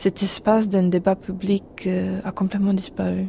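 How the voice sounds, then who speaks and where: A woman with a medium-pitched, somewhat breathy voice and a dark, mellow tone speaks at a fairly slow pace. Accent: Serbian. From Serbia. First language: Serbian (speaking French). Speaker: film director. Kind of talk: radio interview. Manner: halting.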